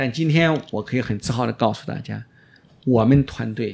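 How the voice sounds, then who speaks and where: In a normal speaking voice, a man talks at a fairly quick pace with medium pitch and lively intonation. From China, Shaanxi. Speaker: orthodontist. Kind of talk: interview.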